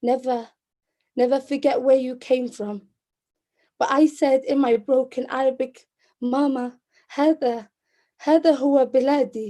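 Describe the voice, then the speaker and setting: A woman with a high pitch talks very slowly, pausing long and often. Her tone is dark and mellow, and her intonation is flat and monotone. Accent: Liverpool. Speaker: poet. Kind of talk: spoken word poetry performance.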